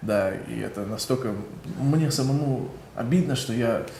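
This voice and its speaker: Speech comes at a very slow pace with ordinary pitch variation, over noticeable background noise and audible room echo. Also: man. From Kyrgyzstan, partly raised in the US. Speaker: singer. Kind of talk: interview answers. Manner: halting, repeats words.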